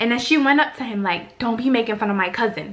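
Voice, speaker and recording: The speech comes at a very fast pace with ordinary pitch variation, set against noticeable background noise. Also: woman. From Africa. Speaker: beauty vlogger. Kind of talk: casual chat.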